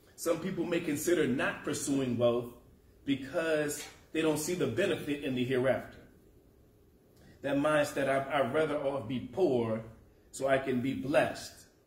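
Audible room echo surrounds a man speaking at a moderate pace. His pitch variation is ordinary, and he takes long, frequent pauses. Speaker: preacher. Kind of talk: sermon. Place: church.

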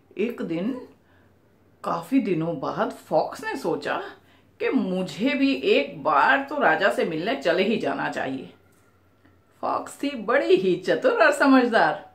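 Speaking very slowly, a woman lets her pitch swing very widely. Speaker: storyteller. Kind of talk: storytelling narration with character voices. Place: home room.

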